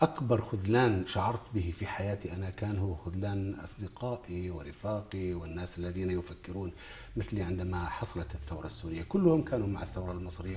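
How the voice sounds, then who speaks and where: A man's very deep, low voice with ordinary pitch variation over light background noise. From Jordan. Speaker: poet and writer; poet. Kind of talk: TV interview; interview answer. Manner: halting, many fillers and repetitions. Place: studio. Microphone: lapel.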